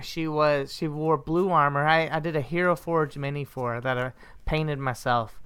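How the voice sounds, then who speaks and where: A woman with a very deep, low voice talks at a moderate pace with fairly even intonation. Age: 30s. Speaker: podcast co-host, grad student. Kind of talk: casual chat.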